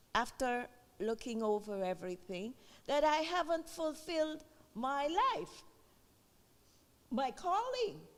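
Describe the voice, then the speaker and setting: Against noticeable background noise, a woman with a high pitch talks at a very slow pace, her pitch swinging very widely between long, frequent pauses. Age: 70s. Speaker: audience member. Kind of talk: audience comment.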